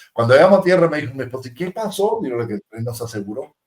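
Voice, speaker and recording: Somewhat breathy male speech full of lively intonation. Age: 60s. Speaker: aviation technician and show co-host. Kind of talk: casual chat. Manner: animated.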